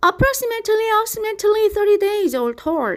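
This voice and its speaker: A woman puts on a squeaky character voice at an extremely high pitch, talking at a fairly quick pace. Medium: read story. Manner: chattering, repeats words.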